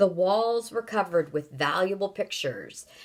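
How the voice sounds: It is a natural reading voice with ordinary pitch variation.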